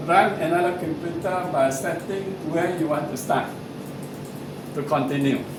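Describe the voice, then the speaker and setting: Noticeable background noise and audible room echo fill the recording. A man speaks at a fairly slow pace and fairly high pitch, his intonation fairly even. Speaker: software trainer. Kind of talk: tutorial.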